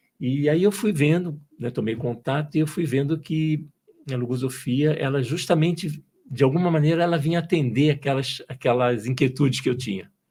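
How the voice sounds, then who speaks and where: At a moderate pace, a man speaks in a dark, mellow, somewhat breathy tone, his fairly high pitch showing ordinary variation. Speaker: engineer turned entrepreneur, logosophy student. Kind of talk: podcast interview. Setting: studio. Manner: hesitant, repeats words.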